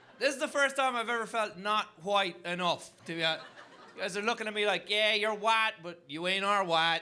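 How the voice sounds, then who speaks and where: Raised and projected, the voice has a bright, sharp tone, ordinary pitch variation and a moderate pace. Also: man, high pitch for a man. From Ireland. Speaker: comedian. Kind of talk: stand-up. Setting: stage with audience.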